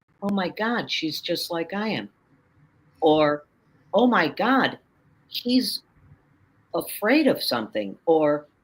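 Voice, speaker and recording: A woman with an American accent and vocal fry talks very slowly at a medium pitch, her pitch swinging very widely between long, frequent pauses. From US Midwest, Chicago. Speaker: author and confidence coach. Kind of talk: interview conversation. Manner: animated.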